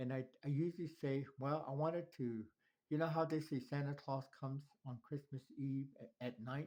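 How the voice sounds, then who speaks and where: Speaking with a Southwestern US accent, a man uses a fairly high pitch. He moves at a moderate pace with ordinary pitch variation. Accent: Navajo-accented English. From Navajo Nation, New Mexico. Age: 70s. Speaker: elder telling life story. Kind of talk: personal life story. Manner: halting.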